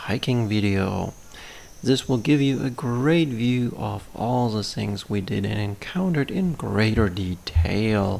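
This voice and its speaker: A man's very slow delivery with lively intonation. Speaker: channel host. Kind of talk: scripted channel intro narration.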